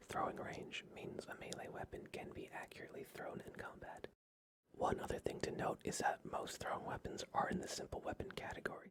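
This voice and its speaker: The speaker whispers at a moderate pace. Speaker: D&D guide presenter. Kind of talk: whispered ASMR-style tabletop game guide narration. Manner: whispered, soft-spoken.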